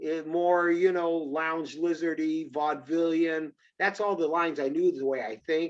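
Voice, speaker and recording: A man at a moderate pace, fairly high-pitched, in an ordinary speaking voice. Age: 60s. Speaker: musician and comedian. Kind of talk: casual chat.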